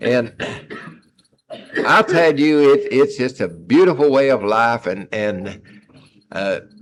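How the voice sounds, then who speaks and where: Speaking at a fairly slow pace, a man with a Texas accent has a fairly high pitch. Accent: Texas Southern drawl. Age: 70s. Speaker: recovering alcoholic at AA meeting. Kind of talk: testimony. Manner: halting.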